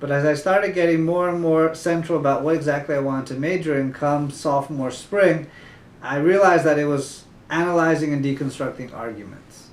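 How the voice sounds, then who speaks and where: Fairly quick and fairly even in intonation, a man speaks at a fairly high pitch with audible room echo. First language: Spanish. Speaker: tutoring company founder. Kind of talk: interview.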